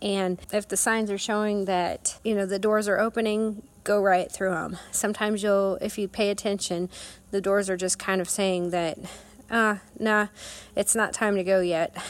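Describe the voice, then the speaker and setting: A woman's medium-pitched voice with a Midwestern US accent, monotone and flat in intonation. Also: moderate pace. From Kansas. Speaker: endurance rider. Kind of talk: recorded personal advice.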